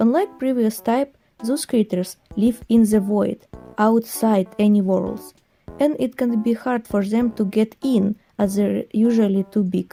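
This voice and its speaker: A woman speaks with a non-native accent at a fairly high pitch, with fairly even intonation and very even loudness. Her pace is fairly slow, with music in the background. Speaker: hobby artist and worldbuilder. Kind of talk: casual explanatory narration.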